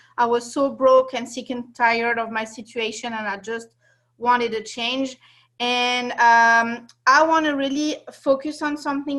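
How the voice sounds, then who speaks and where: A woman's high, bright, sharp voice with a French accent, monotone, flat intonation and a moderate pace. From France. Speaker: network marketing distributor. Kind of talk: testimony. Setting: video call.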